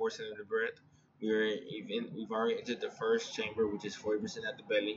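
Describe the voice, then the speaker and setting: Fairly quick male speech against noticeable background noise. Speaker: yoga and meditation instructor. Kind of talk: guided meditation. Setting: video call. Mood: calm, soothing. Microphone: webcam.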